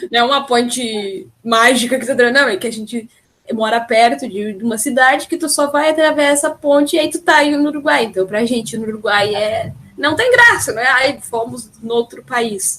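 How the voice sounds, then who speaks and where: This woman has a high voice with ordinary pitch variation. She speaks at a moderate pace. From Rio Grande do Sul, Brazil. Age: 20s. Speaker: podcast host. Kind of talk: casual chat. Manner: usually loud.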